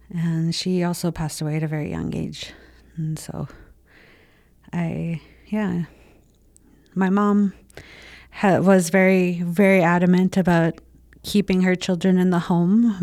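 A woman speaks at a moderate pace in a fairly low, dark, mellow voice, her intonation flat and monotone, with long, frequent pauses on a very clean recording against a silent background. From Winnipeg North End, Manitoba, Canada. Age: 20s. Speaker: intergenerational survivor sharing story. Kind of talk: personal testimony.

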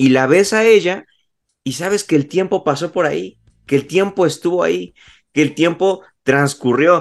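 Here is a man with a normal speaking voice, fairly high in pitch, with ordinary pitch variation. He talks at a moderate pace over a quiet background. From Mexico, Puebla. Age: 20s. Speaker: graphic designer. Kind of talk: casual chat.

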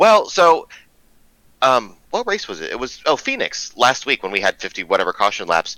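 The recording of this man sounds dry and close, with no echo. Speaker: sim racing driver. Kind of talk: casual chat. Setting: video call. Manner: candid, outspoken.

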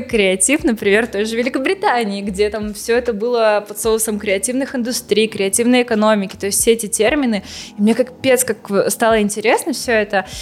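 A woman's fairly high-pitched voice carries over noticeable background noise. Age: 20s. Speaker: cultural center director. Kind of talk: casual chat.

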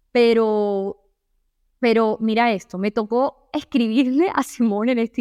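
A woman's fairly high-pitched voice with fairly even intonation, dry and close with no echo, over a quiet background. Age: 20s. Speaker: self-esteem coach and podcast host. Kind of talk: motivational monologue.

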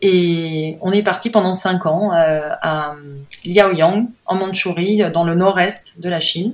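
A woman at medium pitch with a very slow pace and fairly even intonation. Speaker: painter. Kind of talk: interview. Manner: halting.

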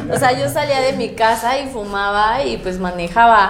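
A woman with a fairly high pitch speaks at a fairly slow pace, with audible room echo and noticeable background noise. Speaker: content creator and university student. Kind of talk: casual chat.

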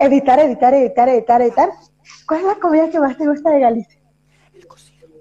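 Talking very fast at a high pitch, a woman shows big swings in loudness, ordinary pitch variation, and long, frequent pauses. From Venezuela. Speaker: podcast host and performer. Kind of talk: interview.

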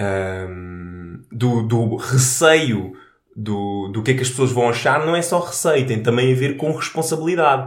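Under audible room echo, a man with a European Portuguese accent speaks at a fairly slow pace, at medium pitch and with lively intonation. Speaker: podcast co-host. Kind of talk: casual chat.

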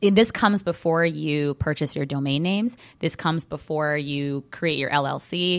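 A woman's very deep, low voice in an American accent, with ordinary pitch variation at a moderate pace, on a very clean recording with a silent background. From Southern California. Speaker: trademark lawyer. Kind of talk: radio interview. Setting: studio.

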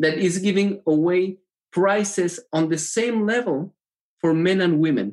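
A man with a Spanish accent speaks at a high pitch, his pitch varying in an ordinary way. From Mexico. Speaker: tech entrepreneur and triathlete. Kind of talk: casual interview chat. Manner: halting.

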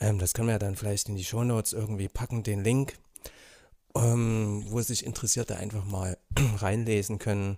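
A man speaks in a fairly low voice with a dark, mellow tone and flat, monotone intonation, recorded very cleanly against a silent background. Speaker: school social worker. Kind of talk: casual chat.

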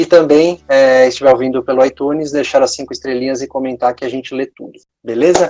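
Music plays in the background as a man speaks at a fairly quick pace and medium pitch, with fairly even intonation. The sound is dry and close with no echo, and his loudness swings widely. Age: 30s. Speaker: podcast host. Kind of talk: casual interview.

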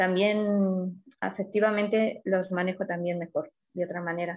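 At a very slow pace, a woman speaks with a medium pitch and fairly even intonation. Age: 50s. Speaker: client in a weight-loss case study. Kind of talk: consultation interview.

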